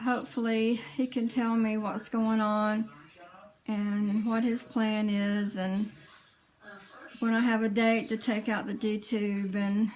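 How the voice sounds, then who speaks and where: A woman talks at a very slow pace in a flat monotone. Noticeable background noise runs under her voice. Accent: Southern US. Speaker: vlogger sharing health story. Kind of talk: personal vlog testimony. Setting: indoors, iPad camera. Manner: halting, many fillers.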